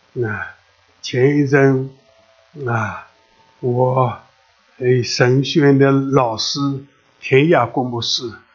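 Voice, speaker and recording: With music in the background, a man of medium pitch speaks at a very slow pace, leaving long, frequent pauses. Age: 80s+. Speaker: preacher. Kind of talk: sermon. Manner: halting, many filler sounds; animated, exclamatory.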